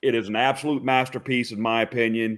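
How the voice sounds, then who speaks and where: An enthusiastic man speaks with an East Texas accent. His pitch is medium and his pace moderate. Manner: enthusiastic, praising.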